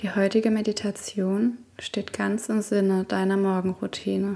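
A woman's medium-pitched voice, calm and soothing, monotone and flat, at a fairly slow pace. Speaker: podcast host and meditation guide. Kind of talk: guided meditation. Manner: slow, soft-spoken, calm and soothing, with long pauses; gentle, intimate, addressing listener as 'du'.

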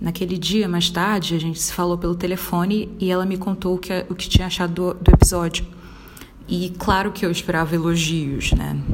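Over noticeable background noise, a woman speaks at a moderate pace in a fairly low pitch with monotone, flat intonation. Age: 20s. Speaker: podcaster. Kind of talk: personal monologue.

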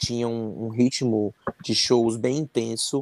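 This man speaks at a medium pitch. His intonation is flat and monotone. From Fortaleza, Ceará, Brazil. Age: 30s. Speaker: musician and band singer. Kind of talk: interview.

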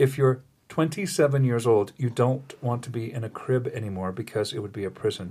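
Somewhat breathy, with ordinary pitch variation. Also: man. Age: 60s. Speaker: spiritual podcast host. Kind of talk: casual spiritual chat.

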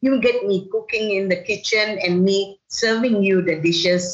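Somewhat breathy, a woman speaks at medium pitch with lively intonation. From Malaysia. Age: 60s. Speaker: chef and cookbook author. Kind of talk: casual interview. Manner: halting, repeats words.

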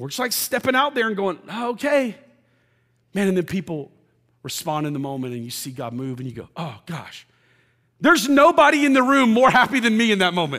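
A man with a high pitch and a raised, projected voice talks at a fairly quick pace in an animated, bright, sharp tone, with very wide pitch swings and big swings in loudness on a very clean recording with a silent background. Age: 40s. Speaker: pastor. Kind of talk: sermon. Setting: church.

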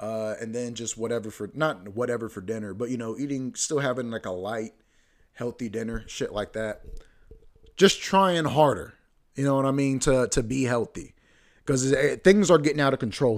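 A man in an ordinary speaking voice keeps a moderate pace, his medium pitch carried by lively intonation. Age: 20s. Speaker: podcast host. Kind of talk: solo casual monologue. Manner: casual, filler-heavy.

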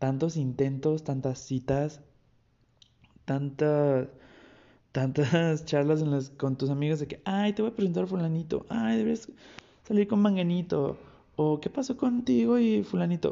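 Speaking with a Mexican accent, a man uses lively intonation and an animated tone at a fairly slow pace, with long, frequent pauses. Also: fairly high pitch for a man. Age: 20s. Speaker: podcast host. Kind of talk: solo podcast monologue. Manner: casual, animated.

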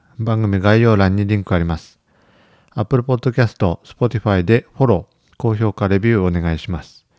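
Speaking at a moderate pace, a man has a dark, mellow tone and big swings in loudness. The sound is dry and close, with no echo. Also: fairly low pitch for a man, ordinary pitch variation. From Ishikawa, Japan. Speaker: rice farmer and podcast host. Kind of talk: casual chat.

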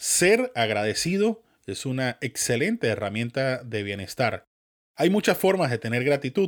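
A man's medium-pitched voice with very wide pitch swings, at a fairly slow pace, on a very clean recording with a silent background. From Venezuela. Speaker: podcast host. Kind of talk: scripted monologue.

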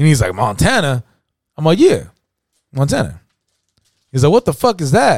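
Dry and close with no echo, a man's somewhat breathy, fairly high voice moves at a fairly quick pace with lively intonation. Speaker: podcast co-host. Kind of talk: casual banter about hip hop. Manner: laid-back, profane, filler-heavy.

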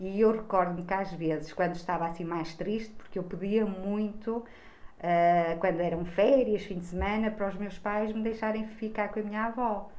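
The voice carries audible room echo and moves at a moderate pace. Its intonation stays fairly even, with hardly any pauses. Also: woman, medium pitch for a woman. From Trás-os-Montes, Portugal (Bragança). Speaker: school social worker. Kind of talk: interview.

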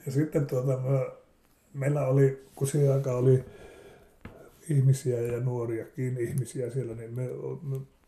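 At a fairly slow pace, a man speaks in a dark, mellow, somewhat breathy tone at medium pitch. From Finland, Savonlinna area (Saimaa islands). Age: 70s. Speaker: interviewee recalling childhood. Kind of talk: casual reminiscence interview. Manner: halting, with fillers.

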